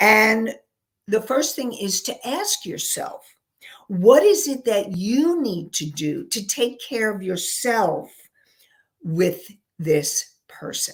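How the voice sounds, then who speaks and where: A woman with a New York accent speaks at a fairly high pitch and a very slow pace, sounding somewhat breathy. Her pitch swings very widely and her loudness rises and falls sharply. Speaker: counselor and life coach. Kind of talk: live webinar talk. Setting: live online show with chat room.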